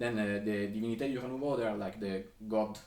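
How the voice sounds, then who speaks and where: In an Italian accent, a man of fairly low pitch speaks at a moderate pace, with audible room echo and noticeable background noise. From Sicily, Italy. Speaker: composer. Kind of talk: lecture. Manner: halting, many fillers and restarts.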